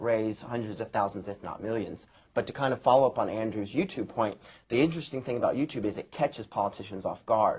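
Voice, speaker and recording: His fairly quick speech stays at a medium pitch. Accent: American. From United States. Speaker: political commentator. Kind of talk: panel discussion.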